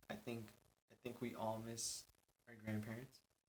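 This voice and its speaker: Somewhat breathy, a man with an American accent talks at a medium pitch and a fairly slow pace. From California. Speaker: podcast host. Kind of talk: casual solo podcast chat. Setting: recording studio.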